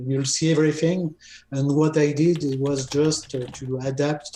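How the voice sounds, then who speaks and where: A man's somewhat breathy voice with a dark, mellow tone and fairly even intonation, with audible room echo and light background noise. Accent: French. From France. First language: French. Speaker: software developer. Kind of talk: casual chat. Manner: halting. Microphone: video call.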